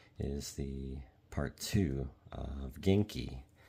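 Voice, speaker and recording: Soft-spoken and somewhat breathy, a man talks in a calm, relaxed tone that is dark and mellow. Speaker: Japanese language learner making ASMR study videos. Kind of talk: ASMR soft-spoken talk to camera about studying Japanese. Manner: soft-spoken, calm, relaxed.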